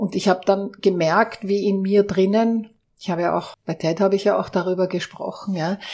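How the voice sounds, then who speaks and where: A woman with a medium pitch and fairly even intonation uses an ordinary speaking voice. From Austria. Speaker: organizational consultant. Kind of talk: interview.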